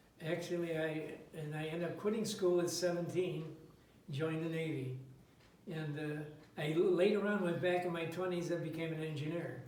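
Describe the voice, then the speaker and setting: A man talks at a moderate pace in a high pitch with fairly even intonation. Audible room echo and noticeable background noise surround him. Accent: American. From Chicago. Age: 90s. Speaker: war veteran and barbershop singer. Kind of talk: interview.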